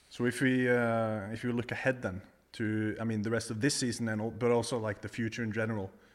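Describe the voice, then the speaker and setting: Over a silent background in a very clean recording, a man with a Norwegian accent talks very fast at a medium pitch, his intonation flat and monotone. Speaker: golf podcast host. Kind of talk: casual interview. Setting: in a house.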